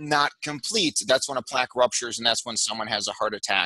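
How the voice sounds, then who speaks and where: A man at a medium pitch uses fairly even intonation, with a dry sound free of echo and a quiet background. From Chicago, US Midwest. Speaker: cardiologist; guest. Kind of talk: casual interview chat. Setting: call. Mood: calm, explanatory. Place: home room. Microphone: headset.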